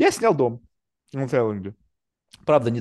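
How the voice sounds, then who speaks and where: A man with an unremarkable speaking voice talks at a medium pitch with lively intonation. The sound is dry and close with no echo, over a quiet background. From Russia, then New York. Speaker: podcast host, businessman. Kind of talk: casual interview chat. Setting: video call. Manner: casual, talkative, profane.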